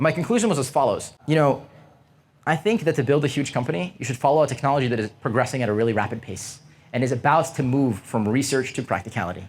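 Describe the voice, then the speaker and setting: On a very clean recording with a silent background, a man with a medium pitch and a somewhat breathy voice talks at a very fast pace with lively intonation. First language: not English. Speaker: tech founder and speaker. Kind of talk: talk to university students. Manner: casual, filler-heavy.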